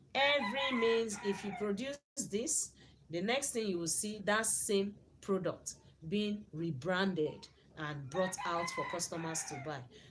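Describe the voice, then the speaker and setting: In a Nigerian accent, a woman with a medium pitch speaks at a fairly slow pace with lively intonation. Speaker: YouTuber reacting to a video. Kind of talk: video commentary. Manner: repetitive.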